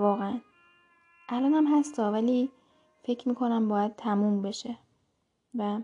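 A woman's fairly high voice with fairly even intonation at a moderate pace, long frequent pauses and music in the background. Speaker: podcaster. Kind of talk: casual voice diary.

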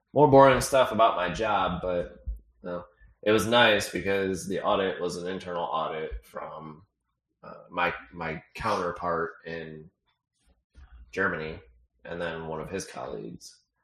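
With a very deep, low pitch, a man talks at a fairly slow pace in a playful tone, showing ordinary pitch variation, big swings in loudness and long, frequent pauses. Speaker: podcast co-host. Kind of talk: casual chat. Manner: playful, joking.

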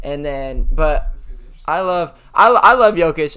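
The recording is very clean, with a silent background. A man speaks in an American accent with a bright, sharp tone. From Sacramento, California. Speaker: theater student and barista. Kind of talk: casual chat. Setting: studio.

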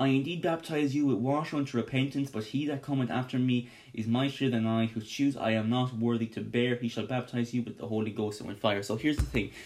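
Noticeable background noise is present throughout. Over it, a man speaks at a very fast pace. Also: medium pitch for a man. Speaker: Bible study podcast host. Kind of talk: Bible study teaching. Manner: animated.

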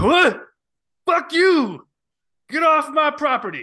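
A man performs a put-on character voice at an extremely high pitch. He speaks at a fairly slow pace. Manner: angry, shouting.

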